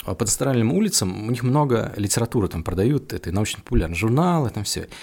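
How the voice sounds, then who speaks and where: Using a plain, everyday voice, a man talks at a moderate pace and medium pitch with lively intonation. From Russia, Penza region. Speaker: guitar shop founder. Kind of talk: casual interview chat.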